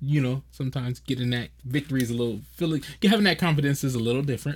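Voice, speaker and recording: A man with a fairly high pitch talks at a very fast pace, sounding somewhat breathy. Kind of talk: casual chat.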